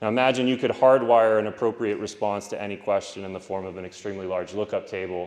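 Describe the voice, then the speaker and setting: A loud man's voice in a fairly low pitch, very fast with hardly any pauses and fairly even intonation. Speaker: philosophy professor giving keynote. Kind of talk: conference keynote lecture. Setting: conference stage with audience.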